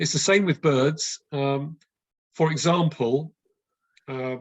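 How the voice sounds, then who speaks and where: In a fairly high pitch, a man speaks at a very slow pace with fairly even intonation. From West London, England. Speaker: birdsong educator. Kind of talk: online talk with Q&A. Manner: hesitant, many fillers.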